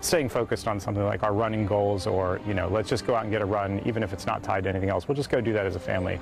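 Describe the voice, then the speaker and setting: A man speaks very fast with hardly any pauses, his pitch fairly low and his intonation fairly even. The sound is dry with no echo, and music plays clearly in the background. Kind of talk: interview answer. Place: street. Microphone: lapel.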